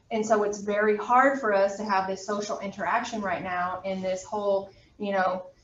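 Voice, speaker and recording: Noticeable background noise and audible room echo surround a woman speaking in a medium pitch with monotone, flat intonation. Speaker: college anatomy instructor. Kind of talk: lecture. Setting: classroom, also streamed on video call. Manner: fast.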